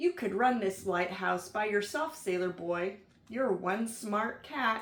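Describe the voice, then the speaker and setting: Using a put-on character voice, a woman speaks at a fairly slow pace with medium pitch and lively intonation. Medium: read story.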